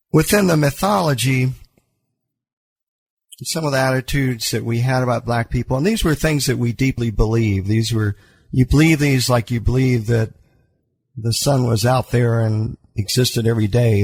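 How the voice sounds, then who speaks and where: A man with an American accent speaks at a moderate pace and medium pitch, somewhat breathy, with ordinary pitch variation, in a very clean recording over a silent background. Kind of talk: radio interview answer. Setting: studio.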